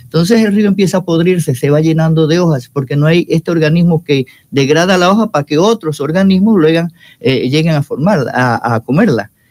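A man talks at a fairly quick pace in a normal speaking voice, fairly high in pitch with ordinary variation and very even loudness. The sound is dry and close, with no echo. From Panama, Chiriquí province (Los Algarrobos, David). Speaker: university professor and mycology researcher. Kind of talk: radio interview.

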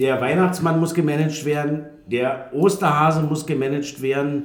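A fairly slow man's voice amid noticeable background noise and audible room echo. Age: 40s. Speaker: podcast host. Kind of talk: casual chat. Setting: studio.

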